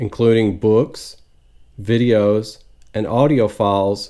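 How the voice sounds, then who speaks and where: A man with an American accent speaks at a fairly slow pace in a dark, mellow tone with fairly even intonation. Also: very clean recording, silent background. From United States. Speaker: retired teacher, online English tutor. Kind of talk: tutor introduction video.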